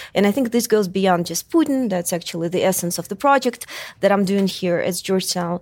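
In a Russian accent, a woman talks at a fairly quick pace with a medium pitch. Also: ordinary pitch variation. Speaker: political scientist. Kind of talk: panel discussion. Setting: stage with audience.

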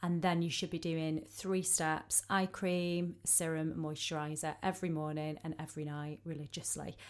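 On a very clean recording with a silent background, a woman with a very deep, low pitch talks at a moderate pace with hardly any pauses. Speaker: wedding makeup artist. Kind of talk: casual chat. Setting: studio. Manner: warm, enthusiastic.

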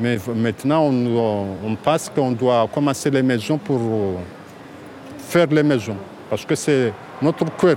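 Very slow delivery with long, frequent pauses, ordinary pitch variation, and noticeable background noise. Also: man, medium pitch for a man. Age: 40s. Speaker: local resident displaced by building collapse. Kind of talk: street interview.

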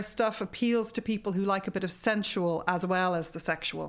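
A woman with an Irish accent speaks at a moderate pace and medium pitch, keeping a fairly even intonation. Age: 50s. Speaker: sexologist. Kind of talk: casual interview chat.

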